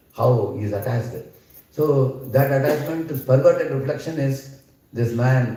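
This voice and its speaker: A medium-pitched man's voice comes with audible room echo. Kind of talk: scripture lecture. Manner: loud.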